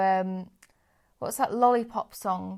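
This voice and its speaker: Against a silent background in a very clean recording, a woman speaks fairly slowly at medium pitch with fairly even intonation. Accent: English. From England. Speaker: podcast co-host. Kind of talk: casual chat.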